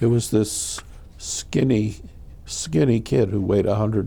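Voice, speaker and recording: Vocal fry marks a man's dark, mellow speaking tone. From New Britain, Connecticut. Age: 70s. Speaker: war veteran. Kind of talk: oral history interview.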